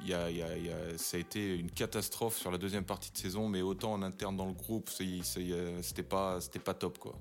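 His voice is very deep and low, and this man's pitch varies in an ordinary way. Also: moderate pace, very clean recording, silent background. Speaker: former footballer and TV pundit. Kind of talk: casual chat.

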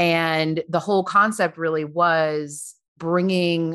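The speaker talks at a very slow pace with an American accent. The background is quiet. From New York, Long Island. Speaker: business founder, American expat in Paris. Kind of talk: casual interview chat.

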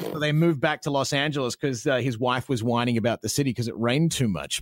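Fairly quick speech with ordinary pitch variation in a dry, close sound with no echo. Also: man. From Australia. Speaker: radio host. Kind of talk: casual interview chat.

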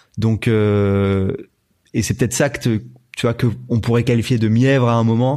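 A man at a medium pitch talks at a fairly slow pace with fairly even intonation and a dark, mellow tone. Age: 30s. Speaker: YouTuber. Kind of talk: casual chat.

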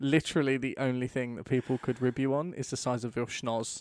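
A man with an unremarkable speaking voice talks at a moderate pace and medium pitch, with fairly even intonation. The sound is dry and close, with no echo. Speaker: podcast co-host. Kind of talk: casual banter. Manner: dry, joking.

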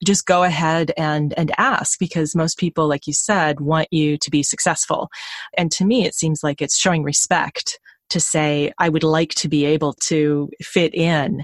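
With an American accent, a woman speaks at a very deep, low pitch, keeping her intonation fairly even and her loudness very even. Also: moderate pace, dry, close sound with no echo. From US Midwest. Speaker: podcast host. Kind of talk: interview podcast. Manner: direct.

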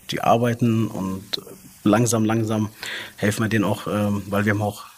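Here a man speaks in a fairly low voice with monotone, flat intonation. His pace is fairly slow. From came to Germany as a child refugee in 1986. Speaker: fast-food restaurant manager. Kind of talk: casual interview. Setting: recorded at company headquarters in Munich. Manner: hesitant, many filler sounds.

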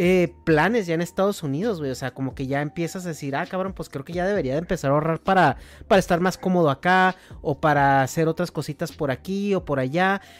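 Talking at a very fast pace, a man with a high voice uses ordinary pitch variation. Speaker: podcast host. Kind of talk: casual chat.

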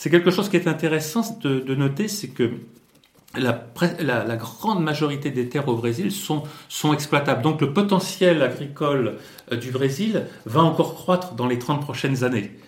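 There is audible room echo as a man talks at a moderate pace, his fairly high pitch carried by lively intonation. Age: 60s. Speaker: Brazil expert and communication consultant. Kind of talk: interview. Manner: halting with frequent hesitations.

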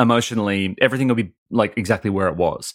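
A man with an Australian accent talks at a very fast pace on a very clean recording with a silent background. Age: 30s. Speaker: comedian and podcaster. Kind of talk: interview.

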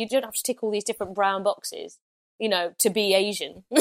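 A woman with an East Midlands accent, heard in a dry, close sound with no echo. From East Midlands, England (Loughborough). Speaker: comedian and podcast host. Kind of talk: casual chat.

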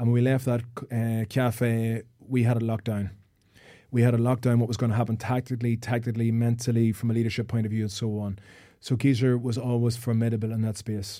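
A man's medium-pitched voice with an Irish accent, monotone and flat in intonation, on a very clean recording with a silent background. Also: fairly quick pace. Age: 40s. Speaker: sports psychologist and former footballer. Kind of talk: casual chat. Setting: studio.

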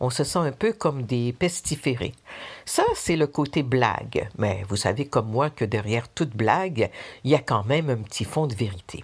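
A somewhat breathy woman with very deep, low pitch, lively intonation, and a moderate pace. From Quebec. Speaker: listener sharing testimony. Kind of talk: recorded personal testimony.

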